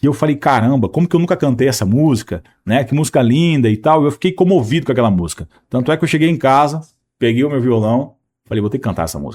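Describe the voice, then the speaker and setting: Over a very clean recording with a silent background, a man talks at a very fast pace with medium pitch and lively intonation. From Maringá, Paraná, Brazil. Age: 30s. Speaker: country singer. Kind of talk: interview answer.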